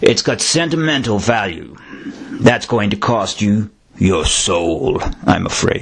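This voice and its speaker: Booming in a put-on character voice, a man at medium pitch speaks at a fairly slow pace. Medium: read story. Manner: smug, mocking.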